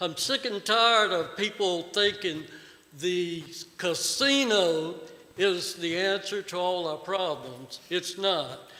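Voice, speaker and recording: A man with a Virginia accent speaks at a very slow pace. His pitch is high, with ordinary variation. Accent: Southern US (Virginia). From Virginia, Pittsylvania County. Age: 60s. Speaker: resident speaking at public hearing. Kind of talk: public comment at hearing. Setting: board meeting room. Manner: animated.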